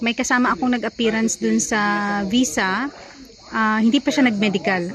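Over noticeable background noise, a woman is heard. She talks at a moderate pace. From Philippines. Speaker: vlogger and nanny. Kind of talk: casual vlog advice. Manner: conversational, with frequent fillers.

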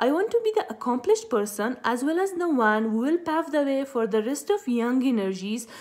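With an Afghan accent, a woman speaks at a high pitch using very wide pitch swings over a quiet background. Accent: Afghan (Pashto) English. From Afghanistan, Khost province. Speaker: youth advocate. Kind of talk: personal introduction speech. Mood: earnest, hopeful. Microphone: phone near.

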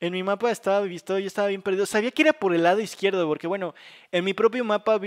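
A man speaks with a Mexican accent. His pitch varies in an ordinary way. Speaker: gaming youtuber. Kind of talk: casual gameplay commentary.

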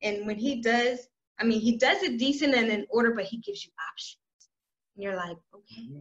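Fairly high in pitch, a woman talks at a fairly quick pace with lively intonation, big swings in loudness and long, frequent pauses against a quiet background. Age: young. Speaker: online video host. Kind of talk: interview. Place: home room. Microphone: video call.

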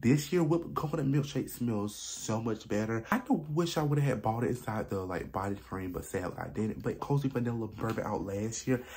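A man speaks at a moderate pace, his intonation lively. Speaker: fragrance vlogger. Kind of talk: casual vlog chat. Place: home room. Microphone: phone near.

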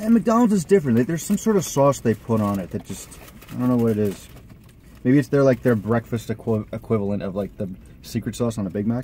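The speech moves at a very fast pace. The sound is dry, with no echo. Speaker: co-host. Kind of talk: casual vlog chat. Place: car. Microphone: phone near.

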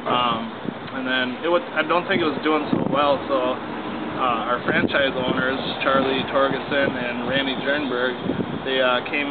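Loud background noise sits behind a man talking at a moderate pace. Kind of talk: interview answer.

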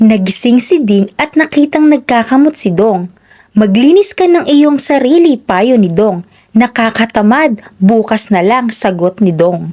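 Slow-paced and somewhat breathy, a woman's fairly high voice has a dark, mellow tone, very wide pitch swings and very even loudness. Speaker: children's storyteller. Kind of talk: reading aloud.

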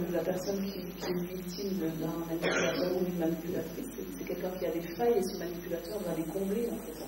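A woman talks at a fairly quick pace in a room with audible echo and loud background noise. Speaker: novelist. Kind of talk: author interview. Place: shop.

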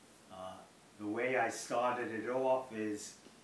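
Speaking very slowly in a New York accent, a man keeps a fairly even intonation amid light background noise and audible room echo. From Bronx, New York. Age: 80s+. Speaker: birthday celebrant. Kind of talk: personal speech reading. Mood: warm, reflective. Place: home room.

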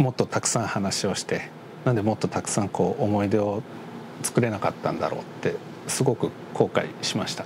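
Against noticeable background noise, a man with a fairly low voice talks at a fairly quick pace with ordinary pitch variation. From Shizuoka, Japan; Japan. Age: 30s. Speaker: hunter and rest stop operator. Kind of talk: interview. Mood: warm, reflective, often smiling. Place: home room. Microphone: lapel.

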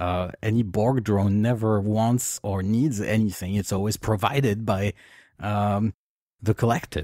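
A man talks with a French accent at a fairly low pitch and ordinary pitch variation. The recording is very clean, with a silent background. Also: dry, close sound with no echo. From France. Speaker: author. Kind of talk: interview. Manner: halting.

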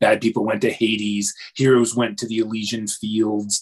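A male voice, quiet background. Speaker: guest. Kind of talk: interview answer. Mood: relaxed, lightly humorous. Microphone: video call.

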